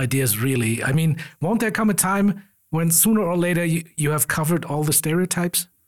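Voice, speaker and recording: With a German accent, the speaker moves at a moderate pace through very wide pitch swings. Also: man. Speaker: podcast host. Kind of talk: casual interview.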